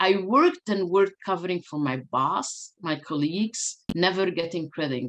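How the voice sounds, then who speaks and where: Speaking at a fairly slow pace, a woman with a fairly low pitch talks with a non-native accent. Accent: foreign. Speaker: diversity and inclusion speaker. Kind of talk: keynote talk.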